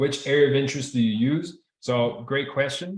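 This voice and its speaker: A man is speaking here. He has a Spanish accent. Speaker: trading instructor. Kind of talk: live online class. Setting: video call. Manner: casual, repetitive.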